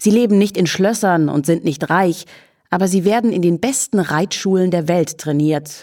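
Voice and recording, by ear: Reading aloud in a natural voice, pitch shifting in an ordinary way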